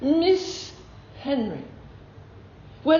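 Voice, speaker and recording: Noticeable background noise accompanies a woman with a high pitch who speaks at a very slow pace. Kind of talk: lunchtime talk to a club. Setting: phone recording.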